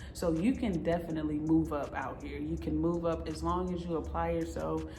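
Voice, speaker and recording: Against noticeable background noise and audible room echo, a woman with an American accent speaks at a moderate pace. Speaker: vlogger on overseas contracting jobs. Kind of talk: casual vlog talk to camera.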